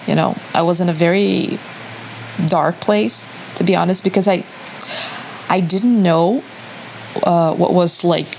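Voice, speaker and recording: A woman speaks at a fairly slow pace in a fairly low pitch, leaving long, frequent pauses. Her pitch varies in an ordinary way and her loudness stays very even, with noticeable background noise. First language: not English. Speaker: listener sending audio question. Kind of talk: recorded audio question.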